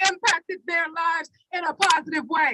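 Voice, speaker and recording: Her voice raised and projected, a woman speaks at a moderate pace, the sound dry and close with no echo. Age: 60s. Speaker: protest speaker. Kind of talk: rally speech.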